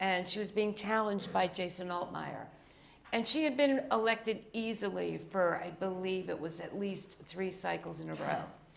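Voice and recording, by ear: A woman with an American accent speaks at a moderate pace in a medium pitch, her raspy voice showing vocal fry and ordinary pitch variation, with audible room echo.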